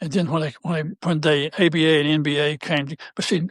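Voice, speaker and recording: With a North Carolina accent, a man speaks at a very fast pace in a dry, close sound with no echo. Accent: Southern US (North Carolina). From US South, North Carolina. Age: 70s. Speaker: retired basketball coach. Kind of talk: casual interview chat. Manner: halting.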